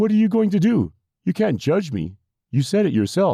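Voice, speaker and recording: High-pitched put-on character voice from a man, moderate in pace. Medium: read story. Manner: folksy, hesitant.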